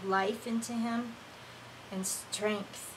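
Against noticeable background noise, a woman speaks at a very slow pace with fairly even intonation. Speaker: online prayer minister. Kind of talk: fervent prayer, mixing spoken intercession with speaking in tongues. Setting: live online broadcast. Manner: impassioned, reverent, flowing in rhythmic bursts of praise; warm and conversational between prayers, hesitant, filler-heavy.

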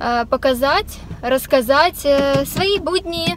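A woman speaks with a dry sound and no echo. Music plays in the background. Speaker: vlogger. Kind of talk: casual vlog chat. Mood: cheerful, relaxed. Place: car. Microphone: phone near.

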